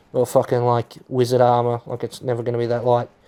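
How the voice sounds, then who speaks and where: Captured on a very clean recording with a silent background, a man speaks with an Australian accent. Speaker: gaming YouTuber. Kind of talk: gameplay commentary. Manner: rambling, hesitant with fillers.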